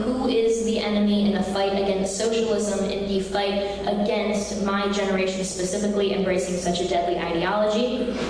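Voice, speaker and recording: Strong room echo and light background noise fill this recording of a woman. She speaks at a moderate pace with monotone, flat intonation. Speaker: conference speaker. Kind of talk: political speech. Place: hall. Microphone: podium.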